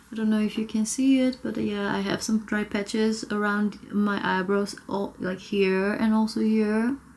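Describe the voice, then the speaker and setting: A woman's fairly high, monotone, flat voice at a moderate pace with hardly any pauses, over noticeable background noise. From South Korea. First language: Korean. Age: 30s. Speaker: beauty vlogger. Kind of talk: makeup tutorial. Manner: casual, conversational.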